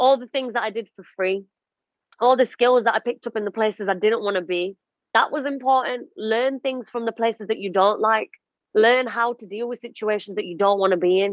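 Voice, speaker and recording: A woman with an ordinary speaking voice talks at a fairly quick pace, her pitch fairly high with ordinary variation. Her loudness swings widely. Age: 30s. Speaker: radio and TV presenter. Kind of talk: podcast interview, personal story. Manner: emotional, reflective.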